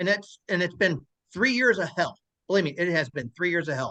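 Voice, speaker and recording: A man uses a raised, projected voice. His tone is bright and sharp. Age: 60s. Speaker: stroke survivor. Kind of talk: testimony. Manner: halting, frequent stammers and restarts.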